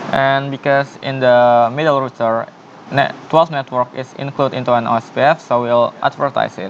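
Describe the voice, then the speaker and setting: Noticeable background noise sits behind a man's medium-pitched voice. He speaks at a moderate pace. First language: not English. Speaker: networking tutorial presenter. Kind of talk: tutorial. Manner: halting.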